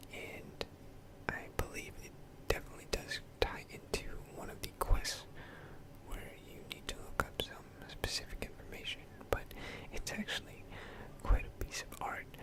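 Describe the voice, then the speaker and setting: Whispering at a moderate pace with long, frequent pauses, the voice is heard over noticeable background noise. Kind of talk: ASMR gaming commentary. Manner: whispered; rambling, hesitant.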